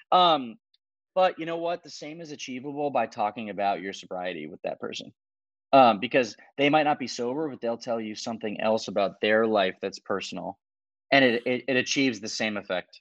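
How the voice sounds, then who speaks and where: A man with a plain, everyday voice talks at a medium pitch and fairly quick pace, his intonation lively and his loudness swinging widely, in a dry, close recording with no echo and a quiet background. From US South. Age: 30s. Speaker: tech company founder in recovery. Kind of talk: interview.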